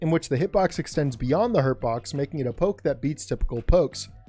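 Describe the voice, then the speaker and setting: A man's fairly high, fairly quick voice with lively intonation, music in the background. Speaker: fighting game guide creator. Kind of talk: game tutorial narration.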